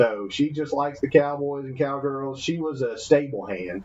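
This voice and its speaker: With a Southern US accent, a man speaks at a moderate pace with a fairly high pitch. His pitch variation is ordinary, and his loudness has big swings. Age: 30s. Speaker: podcast co-host. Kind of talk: casual chat. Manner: animated.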